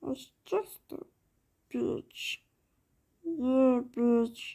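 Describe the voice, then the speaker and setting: A female-sounding cartoonish character voice speaks at a very slow pace. The pitch is high. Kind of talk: cartoon voice impression. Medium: solo performance. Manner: rambling, disjointed.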